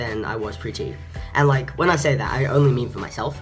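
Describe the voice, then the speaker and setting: With music in the background, a man talks fairly quickly using lively intonation. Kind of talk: casual talk to camera. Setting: construction noise in background.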